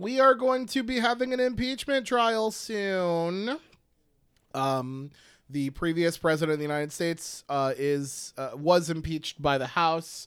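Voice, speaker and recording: A loud man with a high pitch, very wide pitch swings and a fairly slow pace, on a very clean recording with a silent background. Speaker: podcast co-host. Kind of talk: casual chat.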